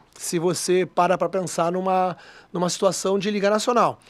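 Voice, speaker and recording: A man's high-pitched voice has monotone, flat intonation. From Rio de Janeiro, Brazil. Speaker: football club executive. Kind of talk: radio interview.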